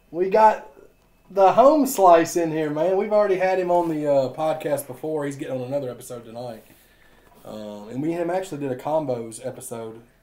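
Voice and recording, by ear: A man's dark, mellow voice, fairly high in pitch, with ordinary pitch variation, a fairly quick pace and audible room echo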